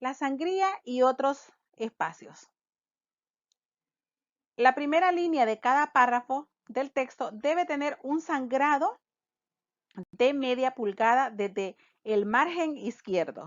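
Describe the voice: At a slow pace with long, frequent pauses, the speech has ordinary pitch variation in a dry, close sound with no echo. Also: woman, high pitch for a woman.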